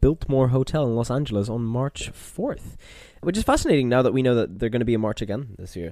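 The speaker is a man. A dark, mellow tone colors his voice. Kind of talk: casual chat.

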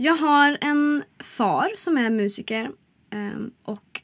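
A woman with lively intonation. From Sollefteå, Västernorrland, northern Sweden. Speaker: singer-songwriter and cabaret artist. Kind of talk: casual interview. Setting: studio.

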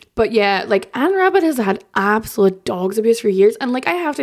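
A woman speaks with an Irish accent. The recording is very clean, with a silent background. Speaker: journalist. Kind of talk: casual chat.

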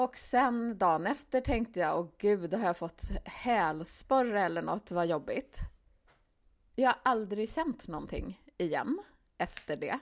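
A woman with an unremarkable speaking voice talks fairly slowly at a medium pitch with lively intonation, in a very clean recording with a silent background. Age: 40s. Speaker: podcast co-host, author. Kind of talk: casual chat.

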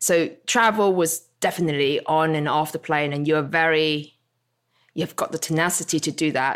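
In a very clean recording with a silent background, a woman with a very deep, low pitch speaks at a moderate pace. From Hong Kong. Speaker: fashion creative director. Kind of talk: casual chat.

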